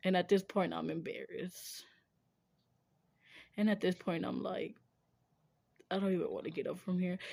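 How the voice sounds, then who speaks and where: A woman talks at a moderate pace with long, frequent pauses. The recording is very clean, with a silent background. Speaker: streamer. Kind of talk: casual chat. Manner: animated.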